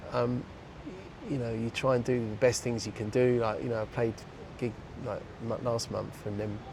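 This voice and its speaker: Long, frequent pauses break up a man's moderate pace. His medium-pitched voice has monotone, flat intonation. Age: 60s. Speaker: techno DJ. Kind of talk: casual chat.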